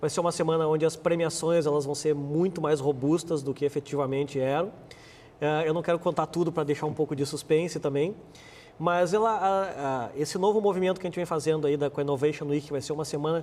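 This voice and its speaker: A man's fairly high voice with a Rio Grande do Sul accent and fairly even intonation. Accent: gaúcho. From Rio Grande do Sul, Brazil (born abroad). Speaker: marketing executive and business administrator. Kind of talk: TV interview. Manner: halting, many repeated words.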